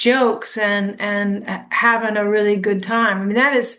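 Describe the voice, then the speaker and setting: Audible room echo surrounds a woman whose bright, sharp tone sits at a fairly high pitch with fairly even intonation. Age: 60s. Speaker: musician. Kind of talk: casual chat.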